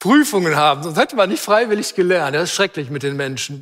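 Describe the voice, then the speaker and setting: In an animated tone, a man talks with ordinary pitch variation. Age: 60s. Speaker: preacher. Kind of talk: sermon.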